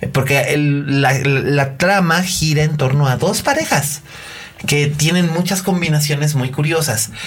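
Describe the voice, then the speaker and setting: Over noticeable background noise and audible room echo, a man talks at a fairly slow pace with fairly high pitch, fairly even intonation and very even loudness. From Mexico, Monterrey. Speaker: film critic podcast host. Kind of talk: casual chat.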